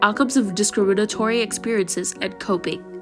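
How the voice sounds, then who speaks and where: A woman speaks with music in the background. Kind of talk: educational commentary talk.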